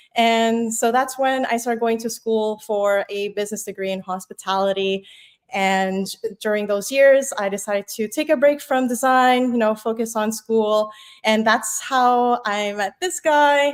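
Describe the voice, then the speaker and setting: An ordinary speaking voice moves at a fairly slow pace with ordinary pitch variation. The recording is very clean, with a silent background. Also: woman, fairly high pitch for a woman. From Philippines, moved to Canada at five. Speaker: web developer. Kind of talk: casual interview chat.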